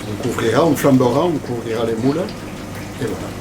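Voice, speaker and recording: A man at a moderate pace in a southern French accent, with noticeable background noise. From Agde, southern France. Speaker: chef. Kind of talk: cooking demonstration.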